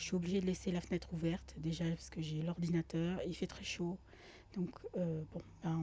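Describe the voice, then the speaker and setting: Soft-spoken and somewhat breathy, a woman speaks at a moderate pace with a fairly low pitch, a dark, mellow tone and monotone, flat intonation. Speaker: gaming youtuber. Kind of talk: let's play commentary. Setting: home with open window. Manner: hesitant.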